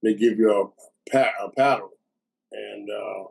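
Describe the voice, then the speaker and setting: A man with a New Orleans accent talks at a medium pitch. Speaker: war veteran. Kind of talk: testimony.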